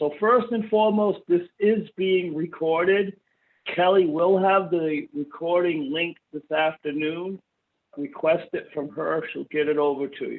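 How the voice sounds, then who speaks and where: With an East Coast US accent, a man speaks at a high pitch. His pace is fairly slow. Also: ordinary pitch variation. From US East Coast. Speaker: software company trainer. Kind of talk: webinar training.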